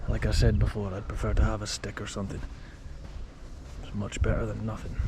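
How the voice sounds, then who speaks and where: A soft-spoken man talks at a very fast pace, with big swings in loudness. There is audible room echo and noticeable background noise. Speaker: urban explorer vlogger. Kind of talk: vlog narration while exploring. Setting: outdoors in desert. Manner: quiet, speaking softly.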